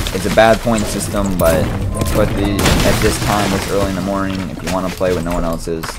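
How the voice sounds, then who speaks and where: A man talking at a fairly quick pace over music in the background. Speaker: gaming streamer. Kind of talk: gameplay commentary tutorial. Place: home room.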